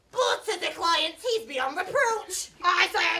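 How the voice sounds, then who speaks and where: A woman puts on a character voice, pitched extremely high and spoken at a fairly slow pace. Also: very wide pitch swings. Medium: stage play. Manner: condescending, theatrical.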